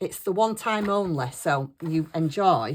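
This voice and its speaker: A woman with a northern English accent and a fairly low pitch on a very clean recording with a silent background. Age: 60s. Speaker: craft YouTuber. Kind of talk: casual chat. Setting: at home desk. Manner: chatty.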